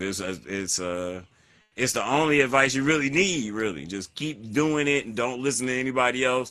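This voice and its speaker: A man speaks at a moderate pace in a bright, sharp yet relaxed tone, with lively intonation. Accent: slight Southern US. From North Carolina. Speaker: hip hop artist. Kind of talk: interview. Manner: casual, relaxed.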